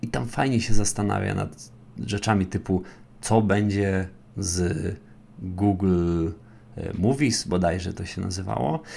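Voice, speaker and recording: Using ordinary pitch variation, a man with a very deep, low pitch speaks at a fairly slow pace with long, frequent pauses. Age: 20s. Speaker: podcast host, big data instructor. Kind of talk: solo educational podcast monologue. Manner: conversational.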